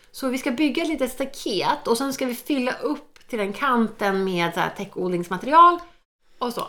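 This woman's pitch is high and ranges very widely. She keeps her speech at a moderate pace. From Sweden, Norrköping. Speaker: podcast co-host. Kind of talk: casual chat.

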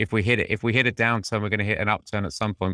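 Speaking very fast in a flat monotone, a man with a fairly low pitch and a bright, sharp tone comes through on a very clean recording with a silent background. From Britain. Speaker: HR executive. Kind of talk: casual interview conversation.

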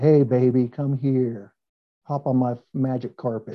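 Putting on a character voice in a Midwestern American accent, a man speaks at a medium pitch and a fairly slow pace. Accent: plain Midwestern American. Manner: flirtatious.

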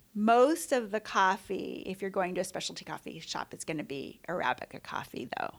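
Speaking at a fairly quick pace with an American accent, a woman at medium pitch shows vocal fry, very wide pitch swings and big swings in loudness. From US West Coast, San Francisco Bay Area. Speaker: coffee roaster. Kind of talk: interview. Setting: roastery lobby.

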